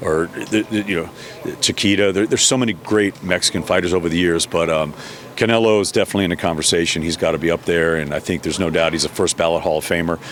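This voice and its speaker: Over noticeable background noise, a man speaks at a very fast pace. His voice is very deep and low, with fairly even intonation. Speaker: boxing ring announcer. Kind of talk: interview answer.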